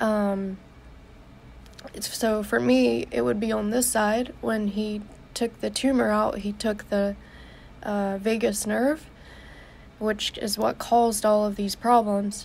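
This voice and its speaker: A woman speaks very slowly at a medium pitch, with ordinary pitch variation. Her speech has long, frequent pauses. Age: 20s. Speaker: vlogger sharing medical journey. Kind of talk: live video update. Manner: halting.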